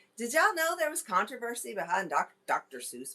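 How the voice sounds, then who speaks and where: A woman's bright, sharp voice at a fairly quick pace, with very wide pitch swings. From Kentucky. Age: 40s. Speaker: podcast host. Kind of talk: live stream chat. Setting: live stream with camera and microphone. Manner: casual, chatty.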